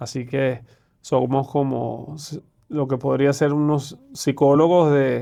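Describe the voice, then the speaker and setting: A man with a Venezuelan accent, fairly high pitch, a dark, mellow tone, monotone, flat intonation and a very slow pace. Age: 40s. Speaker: private banker, investment manager. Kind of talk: podcast interview.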